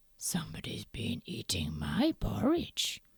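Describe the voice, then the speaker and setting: A put-on character voice growls at a fairly slow pace. The pitch sits low. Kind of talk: bedtime story. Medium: read story.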